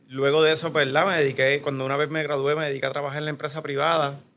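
A bright, sharp tone from a man at a fairly high pitch. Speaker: business owner. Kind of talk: interview.

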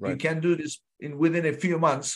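An ordinary speaking voice from a man, fairly high and fairly slow, against a quiet background. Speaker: podcast host. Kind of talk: casual interview. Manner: uses many filler words.

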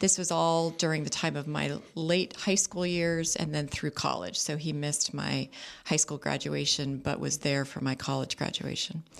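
Someone with a Californian accent speaks with hardly any pauses. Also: woman, moderate pace. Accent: Californian American English. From Southern California, Orange County. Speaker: district attorney. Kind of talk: radio interview. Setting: radio studio.

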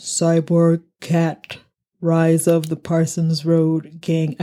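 In a put-on, robotic character voice at middle pitch, the speaker goes at a very slow pace with monotone, flat intonation.

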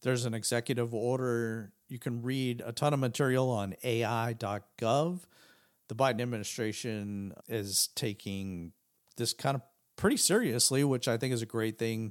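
A man with an unremarkable speaking voice talks at a moderate pace and medium pitch, with ordinary pitch variation. The recording is very clean, with a silent background. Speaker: tech podcast host. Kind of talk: casual podcast explainer. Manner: casual with frequent fillers.

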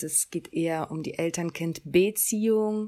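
A woman is talking here. Hers is a plain, everyday voice. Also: dry, close sound with no echo, very clean recording, silent background. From Germany. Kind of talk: scripted podcast monologue.

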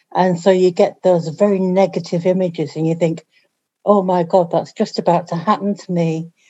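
A woman speaks with a Yorkshire accent at a fairly low pitch. Her intonation is monotone and flat. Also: moderate pace. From Yorkshire, northern England. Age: 50s. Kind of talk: casual chat.

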